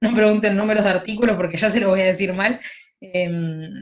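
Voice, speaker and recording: A woman's medium-pitched voice at a moderate pace. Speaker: law tutor. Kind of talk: lecture.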